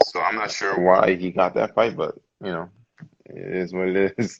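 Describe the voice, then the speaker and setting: A man with a Virgin Islands accent speaks at a very deep, low pitch and a fairly slow pace. His intonation stays fairly even, broken by long, frequent pauses. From US Virgin Islands, St Thomas. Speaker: professional boxer. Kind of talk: casual interview.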